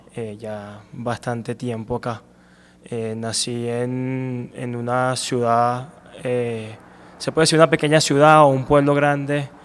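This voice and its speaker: A man at medium pitch, very slow pace, fairly even intonation and big swings in loudness. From Venezuela, Punto Fijo. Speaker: amateur runner and running coach. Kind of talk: interview. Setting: running shop.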